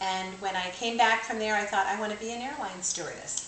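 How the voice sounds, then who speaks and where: Ordinary pitch variation at a fairly quick pace, with audible room echo and noticeable background noise. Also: woman. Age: 60s. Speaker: retired college administrator and career counselor. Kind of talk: radio interview.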